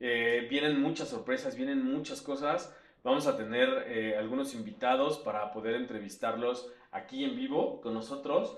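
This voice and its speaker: With audible room echo and noticeable background noise, a man talks at a moderate pace. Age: 40s. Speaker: systems engineer and podcast co-host. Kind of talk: casual chat.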